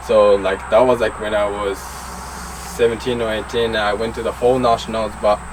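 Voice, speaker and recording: A man speaks at a fairly low pitch. Noticeable background noise runs underneath. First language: Japanese. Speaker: BMX racer. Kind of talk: casual interview. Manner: halting.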